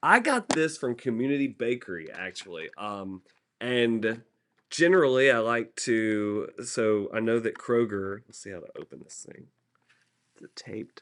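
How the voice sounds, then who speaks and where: With a Southern US accent, a man at a medium pitch speaks with big swings in loudness over a quiet background. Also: ordinary pitch variation, moderate pace. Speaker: TV meteorologist. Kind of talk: casual chat.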